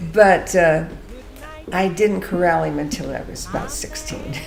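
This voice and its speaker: A woman with an American accent, long and frequent pauses, and big swings in loudness, with audible room echo and music in the background. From Northern California (Mother Lode country, Stockton). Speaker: interviewee recounting life story. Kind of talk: casual interview storytelling.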